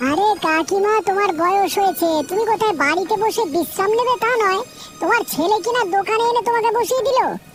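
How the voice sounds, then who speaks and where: A cartoonish character voice at a moderate pace, with clear background noise. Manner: combative, scornful.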